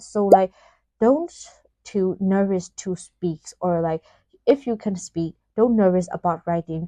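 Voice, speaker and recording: In a Burmese accent, the speaker talks at a fairly slow pace with a dark, mellow tone and a dry, close sound with no echo. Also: woman. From Myanmar. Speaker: vlogger. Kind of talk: casual vlog talk. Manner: hesitant, many fillers.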